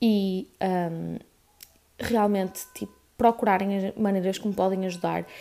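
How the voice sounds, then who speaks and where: A woman in a European Portuguese accent with monotone, flat intonation. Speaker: podcaster. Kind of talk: casual chat. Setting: at home, on living room floor.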